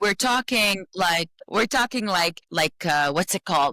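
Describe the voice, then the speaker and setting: Woman with an Arabic accent, medium pitch and a bright, sharp tone at a moderate pace, dry and close with no echo, very clean recording with a silent background. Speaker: podcast co-host. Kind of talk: casual chat.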